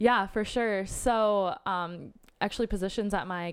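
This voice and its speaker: This is a woman speaking. She has a plain, everyday voice. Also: very clean recording, silent background. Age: 20s. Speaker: nonprofit worker. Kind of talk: casual interview. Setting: in person.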